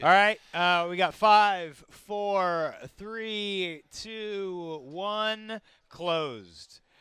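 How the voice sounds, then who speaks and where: In a raised, projected voice, the speaker talks at a very slow pace with fairly even intonation. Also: man, high pitch for a man. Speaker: tabletop game stream commentator. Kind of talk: live commentary. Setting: live stream from a game store. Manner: loud.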